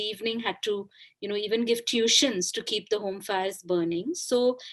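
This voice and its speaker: Her voice fairly high, a woman speaks at a moderate pace. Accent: Bengali. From India, Kolkata. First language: Bengali. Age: 40s. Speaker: author. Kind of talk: interview.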